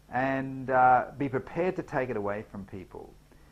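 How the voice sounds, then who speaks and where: A man with an Australian accent talks at a moderate pace with lively intonation. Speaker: business trainer. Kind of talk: tutorial. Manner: hesitant, many fillers.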